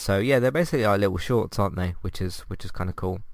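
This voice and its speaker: A man speaks in a fairly low voice with a British accent. The recording is very clean, with a silent background. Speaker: podcast host. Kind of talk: casual review monologue. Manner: hesitant, many fillers.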